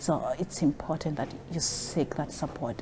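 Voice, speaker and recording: A woman's very deep, low-pitched voice over noticeable background noise. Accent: non-native. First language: not English. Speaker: social worker. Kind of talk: interview.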